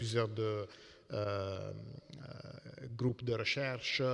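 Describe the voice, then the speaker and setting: A man with an Italian accent speaks at medium pitch in a monotone, flat intonation. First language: Italian (speaking French). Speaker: computer scientist. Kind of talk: panel discussion. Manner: halting.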